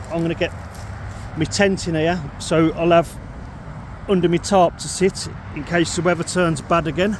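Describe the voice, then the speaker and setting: A man with a British accent speaks in a high pitch. Noticeable background noise is present. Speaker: outdoor camping vlogger. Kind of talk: casual vlog narration. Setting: outdoors. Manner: loud.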